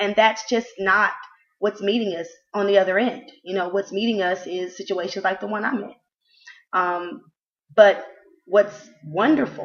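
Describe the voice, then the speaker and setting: Her pace is moderate and her pitch medium. This woman's pitch varies in an ordinary way. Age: 20s. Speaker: aspiring author. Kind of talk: video pitch. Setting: recorded to camera. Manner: halting.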